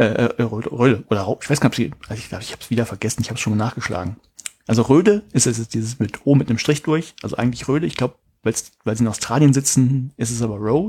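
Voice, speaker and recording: A man mumbles at a very fast pace, his voice somewhat breathy with a dark, mellow tone. His pitch varies in an ordinary way. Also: medium pitch for a man, big swings in loudness. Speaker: podcast co-host, education researcher. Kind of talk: casual chat. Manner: mumbling.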